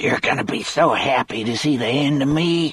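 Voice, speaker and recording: A man puts on a hoarse, raspy character voice at a fairly high pitch. He talks at a moderate pace. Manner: bitter, resigned.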